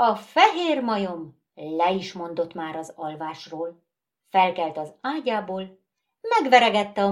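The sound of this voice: The background stays quiet as someone reads in an unforced reading voice.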